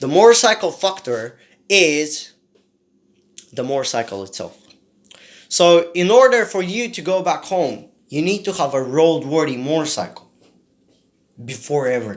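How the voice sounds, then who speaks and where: On a very clean recording with a silent background, a man speaks at a moderate pace with long, frequent pauses. His fairly high pitch swings very widely. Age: 20s. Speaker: motorcycle vlogger. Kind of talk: casual vlog monologue.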